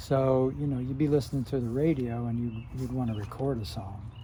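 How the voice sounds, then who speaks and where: With an American accent, a man talks at a moderate pace and ordinary pitch variation in audible room echo. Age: 60s. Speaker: retired YouTuber reminiscing. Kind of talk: casual monologue. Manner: halting, many filler words.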